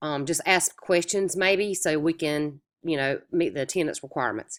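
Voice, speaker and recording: On a very clean recording with a silent background, the voice has an American accent and fairly even intonation. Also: woman. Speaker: online course instructor. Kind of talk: recorded lecture. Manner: casual, with many filler words.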